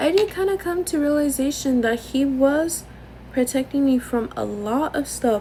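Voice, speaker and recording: A loud woman with an American accent, high pitch, lively intonation and a moderate pace. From Los Angeles area, Norwalk. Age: 20s. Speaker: content creator. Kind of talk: casual chat. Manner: wheezing laugh.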